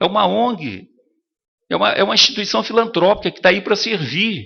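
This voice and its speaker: Speaking at a moderate pace, a man uses a high pitch with ordinary variation. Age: 70s. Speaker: hospital charity director. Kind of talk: council meeting address.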